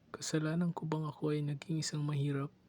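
A man speaks with a somewhat breathy voice. His intonation stays monotone and flat. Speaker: student performing a poem. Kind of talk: spoken word poetry performance.

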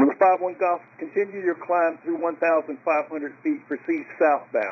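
A man speaks at a moderate pace. His pitch is fairly high, with a slightly husky edge. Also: ordinary pitch variation.

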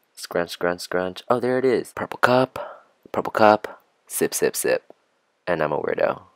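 Over a quiet background, a man talks at a moderate pace in a dry sound with no echo. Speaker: book vlogger. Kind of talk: comedic voiceover narration. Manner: joking, mocking. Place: home room. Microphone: phone near.

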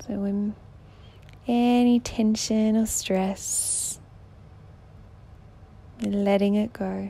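At a very slow pace with long, frequent pauses, a woman speaks in a somewhat breathy voice at a medium pitch, her intonation monotone and flat. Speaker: meditation guide. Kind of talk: sleep meditation. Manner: soft-spoken, slow.

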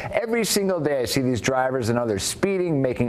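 A man at a fairly quick pace, with very wide pitch swings, over noticeable background noise. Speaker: news show host. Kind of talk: news segment reading out viewer rants and introducing callers. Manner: formal, brisk, even newsreader delivery.

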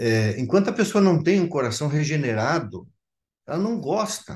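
A man's fairly high voice at a fairly slow pace, over a quiet background. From Santa Catarina highlands, Brazil, German colony. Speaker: pastor. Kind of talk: testimony; interview answer. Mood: earnest, reflective. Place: home room. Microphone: video call.

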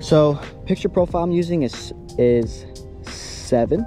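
Clear music plays in the background as the voice moves at a very slow pace with ordinary pitch variation and a dry sound with no echo. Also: man. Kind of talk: tutorial. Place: street.

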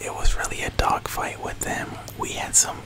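Whispering, a man keeps to a moderate pace. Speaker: video game streamer / YouTuber. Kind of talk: casual YouTube intro to camera. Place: home room. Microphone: studio mic.

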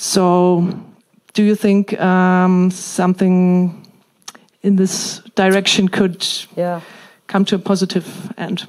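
Against a quiet background, a woman with a German accent speaks very slowly in a monotone, flat intonation, leaving long, frequent pauses. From Germany. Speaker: member of parliament. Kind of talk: audience question. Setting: stage with audience. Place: hall.

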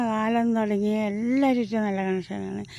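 A woman speaks with a dark, mellow tone. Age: 50s. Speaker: vlogger. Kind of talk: walking vlog. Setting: outdoors.

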